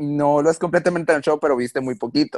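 The voice belongs to a man. His recording sounds dry and close, with no echo. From Mexico. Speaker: reality show contestant. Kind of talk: interview.

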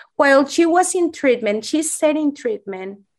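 Intonation is lively as a woman speaks with a Spanish accent. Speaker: pediatrician and eating disorder program director. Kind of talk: interview.

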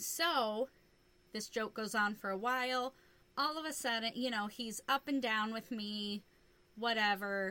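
Fairly high in pitch, this woman has a bright, sharp tone. She goes fairly slowly with ordinary pitch variation. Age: 30s. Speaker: podcast co-host. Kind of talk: casual chat.

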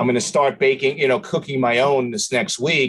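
Speaking with a New York accent, a man uses a medium pitch with ordinary pitch variation. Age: 50s. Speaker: restaurant owner. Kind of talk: interview.

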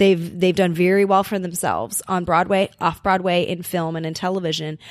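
Recorded very cleanly against a silent background, a woman with a Californian accent speaks at a medium pitch and a moderate pace. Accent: general American (Californian). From Los Angeles, US West Coast. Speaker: podcast co-host. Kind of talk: casual chat. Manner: animated; laughs often.

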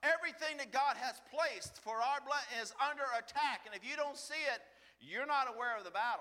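Over noticeable background noise, a man talks at a fairly quick pace in a raised, projected voice with an extremely high pitch. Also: ordinary pitch variation. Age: 50s. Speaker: lay preacher. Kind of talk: sermon. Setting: church. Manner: animated.

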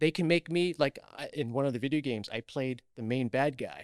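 Recorded very cleanly with a silent background and a dry, close sound without echo, a man uses a plain, everyday voice at a fairly high pitch, a moderate pace and lively intonation. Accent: American. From Queens, New York. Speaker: actor. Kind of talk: casual chat.

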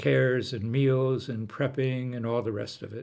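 A man with a normal speaking voice talks at a medium pitch and a fairly slow pace with fairly even intonation, on a very clean recording with a silent background. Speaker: pastor. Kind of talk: interview.

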